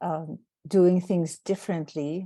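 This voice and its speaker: Over a quiet background, a dark, mellow tone comes through with a non-native accent. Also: woman. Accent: foreign. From outside the United States. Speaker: anthropology professor. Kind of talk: panel opening remarks.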